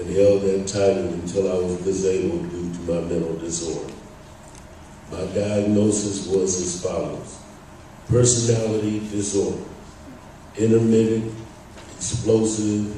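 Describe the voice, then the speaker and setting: Amid noticeable background noise and audible room echo, a man speaks fairly slowly in a fairly low pitch with fairly even intonation and long, frequent pauses. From Northern California, Bay Area (Berkeley). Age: 60s. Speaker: speaker sharing recovery story, retired electrician. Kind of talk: testimony, prepared talk.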